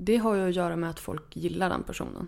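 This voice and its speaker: A woman speaks with an unremarkable speaking voice. Her pitch is medium, with ordinary variation. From northern Sweden, Örnsköldsvik. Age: 30s. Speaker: author. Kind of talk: interview.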